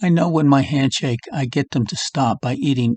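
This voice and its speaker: A somewhat breathy man's voice at medium pitch, with ordinary pitch variation and a dry, close sound with no echo. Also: quiet background. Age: 70s. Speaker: health vlogger. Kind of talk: casual monologue. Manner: halting.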